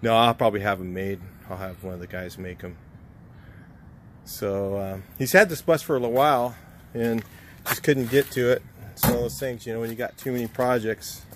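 A man talks at a fairly quick pace, the sound dry with no echo and noticeable background noise behind him. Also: ordinary pitch variation. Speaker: car restorer vlogger. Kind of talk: casual vlog chat. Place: street. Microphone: phone near.

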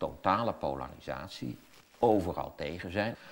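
A man's voice shows vocal fry. His pitch varies in an ordinary way. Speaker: interview guest, commentator on politics. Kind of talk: interview answer. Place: studio.

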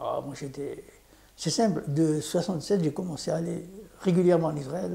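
At a moderate pace, a man speaks in a high pitch with fairly even intonation. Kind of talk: casual interview recounting life story. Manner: halting, repeats words. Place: home room. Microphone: lapel.

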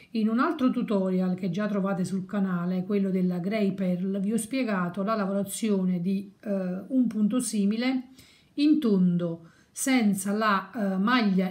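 Somewhat breathy and fairly slow, a woman talks with ordinary pitch variation. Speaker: crochet teacher. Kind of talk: tutorial.

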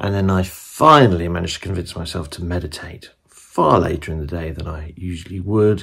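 This man has a low pitch, ordinary pitch variation and some vocal fry. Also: moderate pace, fairly bright tone.

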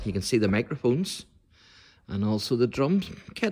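A man with a Northern Irish accent at a moderate pace, against a quiet background. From Northern Ireland. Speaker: church history video presenter; presenter. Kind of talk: guided tour. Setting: inside a church. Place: church. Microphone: phone near.

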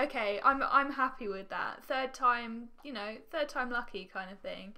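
A woman talks at a moderate pace in a high voice, with ordinary pitch variation. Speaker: gaming video creator. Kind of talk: casual gameplay commentary. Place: home room.

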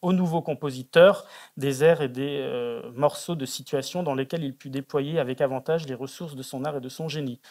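An ordinary speaking voice from a man at a moderate pace, with ordinary pitch variation and a quiet background. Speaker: academic researcher; conference panelist. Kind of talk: conference paper. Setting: auditorium. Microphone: podium.

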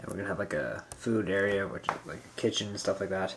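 A man talks with a normal speaking voice, a fairly low pitch and fairly even intonation. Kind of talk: casual vlog chat. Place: home room. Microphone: phone near.

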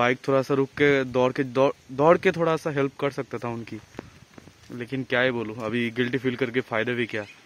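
This man talks at a fairly quick pace in a medium-pitched voice with fairly even intonation.

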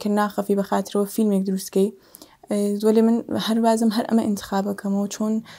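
The background is quiet as a woman speaks at a moderate pace. Her voice is fairly high in pitch, dark and mellow in tone, with monotone, flat intonation. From Sanandaj, Iranian Kurdistan; Iranian Kurdistan. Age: 40s. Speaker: actor and film script supervisor; actor. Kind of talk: interview. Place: studio.

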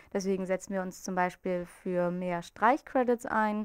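Quiet background, a female speaker, a fairly slow pace. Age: 20s. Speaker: student group representative. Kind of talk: campaign interview statement. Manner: hesitant with filler sounds. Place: office. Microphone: handheld.

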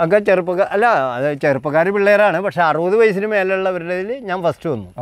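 Against a quiet background, a man speaks in a high pitch with ordinary pitch variation, the sound dry with no echo. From Thrissur, Kerala. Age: 70s. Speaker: amateur triathlete. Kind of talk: interview answer. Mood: proud, recounting achievements. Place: forest. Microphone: lapel.

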